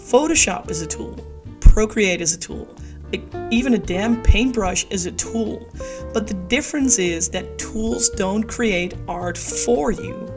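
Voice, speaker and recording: A woman's fairly slow speech over background music. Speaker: artist. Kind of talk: casual talk to camera, opinion rant.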